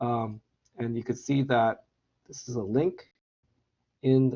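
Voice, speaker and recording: A man speaks at a medium pitch. He leaves long, frequent pauses. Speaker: chemistry instructor. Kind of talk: lecture. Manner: halting, many fillers.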